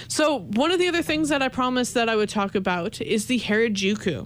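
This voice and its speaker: Pitched fairly high, a woman with an unremarkable speaking voice talks in a Canadian accent with lively intonation. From Canada. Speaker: college radio host. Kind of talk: solo radio talk show.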